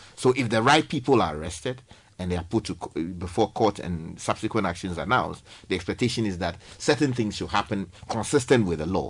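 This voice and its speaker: Speaking at a fairly quick pace, a man with a fairly low pitch and lively intonation has an ordinary speaking voice. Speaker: newspaper review panelist. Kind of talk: radio panel discussion.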